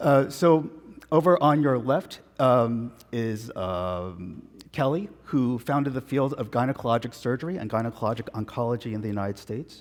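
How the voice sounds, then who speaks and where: A man with a New York accent speaks at a moderate pace in a medium pitch with lively intonation. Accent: New York American. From New York, Long Island. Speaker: physician, professor. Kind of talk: conference lecture.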